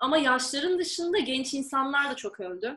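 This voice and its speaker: A raised, projected voice carries a bright, sharp tone. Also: woman. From Turkey, Izmir. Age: 20s. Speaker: graduate student. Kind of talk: casual interview.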